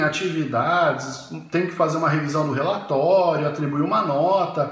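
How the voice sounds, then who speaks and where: A man's high-pitched voice at a fairly slow pace, with noticeable background noise and audible room echo. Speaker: university professor. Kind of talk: educational talk. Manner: halting.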